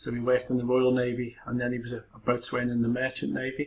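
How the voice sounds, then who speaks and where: At a fairly quick pace, a man talks in a medium-pitched, somewhat breathy voice. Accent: Liverpool. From Liverpool, England. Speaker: university lecturer. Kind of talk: personal introduction talk. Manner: casual, hesitant with fillers.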